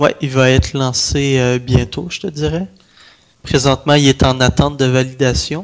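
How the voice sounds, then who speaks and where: In a Canadian French accent, a man talks at a fairly slow pace, medium in pitch, with fairly even intonation. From Canada. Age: 20s. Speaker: indie video game developer. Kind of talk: interview.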